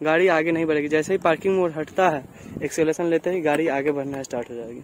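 There is light background noise as a man speaks at a moderate pace in a dry sound with no echo. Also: fairly even intonation. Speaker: vehicle reviewer. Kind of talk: product review walkthrough. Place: street.

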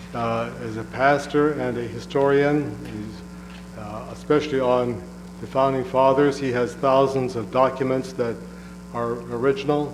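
Audible room echo and noticeable background noise surround the recording. A man speaks at a fairly slow pace with big swings in loudness. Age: 70s. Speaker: public commenter. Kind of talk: public comment at council meeting.

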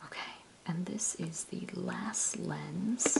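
Someone whispers in a soft-spoken way. Loud background noise fills the recording. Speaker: ASMR creator. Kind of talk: ASMR show and tell, whispered camera sounds. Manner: whispered, soft-spoken. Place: home room. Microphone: phone near.

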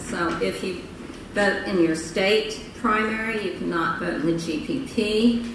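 A woman speaks with ordinary pitch variation. Noticeable background noise and audible room echo surround her. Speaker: conference speaker. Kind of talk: public presentation. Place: hall. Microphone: podium.

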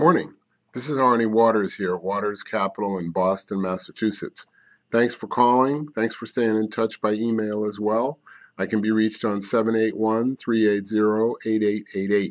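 A man at a fairly slow pace, fairly even in intonation, against a quiet background. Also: fairly low pitch for a man. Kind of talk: market commentary. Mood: opinionated, mildly annoyed. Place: office. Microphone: webcam.

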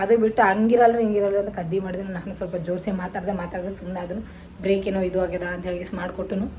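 Over noticeable background noise and audible room echo, a woman speaks at a medium pitch in a monotone, flat intonation. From North Karnataka, Kalaburagi. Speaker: vlogger. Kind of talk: casual vlog talk to camera.

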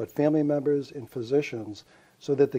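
Dark, mellow tone from a man, with ordinary pitch variation. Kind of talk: interview answer. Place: home room. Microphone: lapel.

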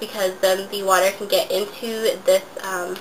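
A woman talks with a fairly bright tone over faint background noise.

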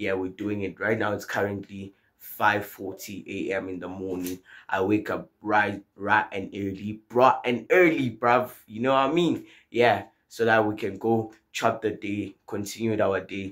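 A man speaks fairly slowly at a fairly low pitch over a quiet background. His is an unremarkable speaking voice with fairly even intonation. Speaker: vlogger. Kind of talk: casual vlog chat. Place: home room. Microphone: phone near.

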